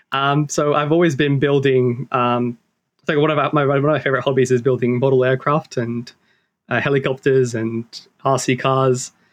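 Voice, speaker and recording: A man with an Australian accent speaks at a moderate pace and a medium pitch. His intonation is monotone and flat, and his loudness stays very even. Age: 20s. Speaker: engineering student. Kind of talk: interview conversation. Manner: hesitant, many fillers.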